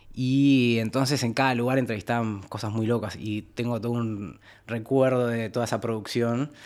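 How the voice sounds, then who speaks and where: The recording is very clean with a silent background, and a man's medium-pitched voice stays flat and monotone. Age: 30s. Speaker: podcast guest. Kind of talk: casual chat.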